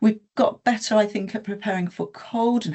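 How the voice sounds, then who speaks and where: A woman at a moderate pace. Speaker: health sector presenter. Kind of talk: webinar presentation. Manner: hesitant, many fillers.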